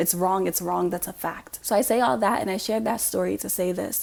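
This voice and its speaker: A woman speaks at a fairly quick pace with hardly any pauses, in an ordinary speaking voice at a medium pitch. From US, raised by African immigrant family. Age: young. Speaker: YouTuber giving commentary. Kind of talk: monologue to camera.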